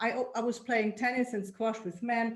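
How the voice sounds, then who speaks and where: A woman with a German accent speaks at a fairly quick pace in a fairly high, somewhat breathy voice. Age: old. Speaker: women's club founder. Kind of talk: group video meeting discussion. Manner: halting.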